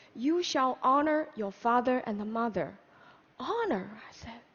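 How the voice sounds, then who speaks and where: Lively intonation and a moderate pace mark this voice with a Chinese accent. Background noise is noticeable throughout. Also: woman. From China, Hunan. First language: Mandarin Chinese. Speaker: public speaker. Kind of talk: conference talk.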